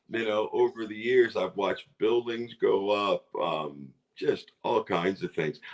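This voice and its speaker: In an American accent, a man speaks at a fairly slow pace with hardly any pauses. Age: 60s. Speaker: roller skater. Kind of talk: casual interview chat.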